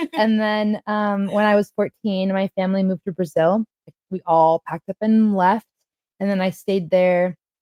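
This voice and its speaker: Here a woman speaks at a medium pitch with a dark, mellow tone and fairly even intonation. Her moderate pace comes through in a dry, close sound with no echo. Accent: Californian. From Northern California. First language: Portuguese. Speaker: Reiki practitioner and DJ. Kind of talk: casual interview chat.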